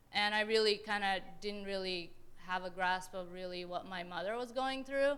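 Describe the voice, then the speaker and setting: Audible room echo surrounds a woman with an American accent whose bright, sharp tone sits at a medium pitch as she talks at a moderate pace. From Afghan-born, grew up in Pakistan then San Jose area, California. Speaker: panelist, environmental advocate. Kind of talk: panel talk, personal story. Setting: panel before audience in university hall. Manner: casual, many fillers (um, kinda, like).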